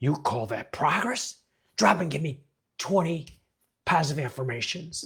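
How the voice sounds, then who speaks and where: Putting on a character voice, a man speaks at a moderate pace with a fairly high pitch and long, frequent pauses. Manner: anxious, barking orders.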